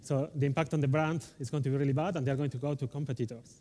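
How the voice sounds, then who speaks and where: A man with a strong Spanish accent speaks very fast in a fairly high voice. His intonation is fairly even, and music plays in the background. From Spain. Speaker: delivery manager, conference speaker. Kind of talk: conference talk. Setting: stage with audience.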